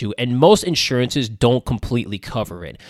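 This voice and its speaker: On a very clean recording with a silent background and a dry, close sound with no echo, a man with a normal speaking voice and medium pitch talks at a fairly quick pace. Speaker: podcaster. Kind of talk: casual solo monologue. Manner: profane, rambling, casual; self-deprecating, joking.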